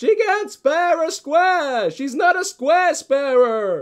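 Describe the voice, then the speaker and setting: A put-on character voice pitched high. It moves at a very slow pace. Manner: exaggerated, indignant.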